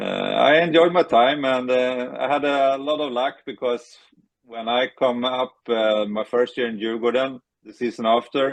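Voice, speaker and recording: Fairly slow and even in intonation, a man with a Swedish accent speaks at a medium pitch. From Sweden, Stockholm area. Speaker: retired ice hockey goalie. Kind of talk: interview. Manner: halting.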